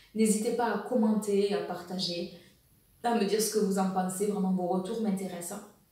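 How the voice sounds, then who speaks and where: In a room with audible echo and noticeable background noise, a woman speaks at a moderate pace in a flat, monotone intonation. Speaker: women's wellness coach. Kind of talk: educational video monologue.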